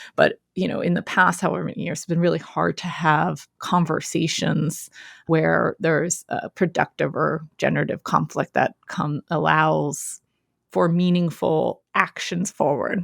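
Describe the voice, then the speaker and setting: Speaking with an American accent, a woman keeps a fairly slow pace. The sound is dry and close, with no echo. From Philadelphia, US. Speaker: education consultant and coach. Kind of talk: interview conversation.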